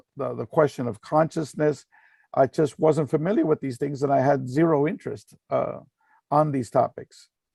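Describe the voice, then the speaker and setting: In a very clean, dry, close recording with no echo and a silent background, a man speaks at a moderate pace with a fairly high pitch, a dark, mellow tone, vocal fry and ordinary pitch variation. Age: 60s. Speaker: research institute director and speaker. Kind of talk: presentation with slides. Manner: halting, many fillers.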